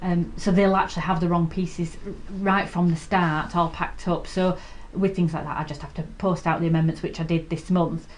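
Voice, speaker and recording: A woman with a British accent, fairly low in pitch, fairly quick and monotone with flat intonation. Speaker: quilting shop owner and video host. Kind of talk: live sewing tutorial chat. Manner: hesitant, many ums; quiet while concentrating.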